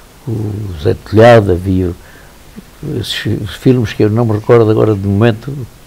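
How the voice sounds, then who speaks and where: Noticeable background noise surrounds a man speaking at a moderate pace with long, frequent pauses. His voice is fairly low with fairly even intonation. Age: 80s+. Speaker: elderly local resident recounting memories. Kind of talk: interview, personal reminiscence. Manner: halting, with repetitions.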